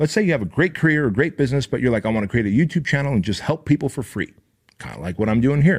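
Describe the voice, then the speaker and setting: An animated man talking very fast, fairly high-pitched with vocal fry and lively intonation, on a very clean recording with a silent background. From Armenia. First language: Armenian. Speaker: motivational podcast host. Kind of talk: motivational talk.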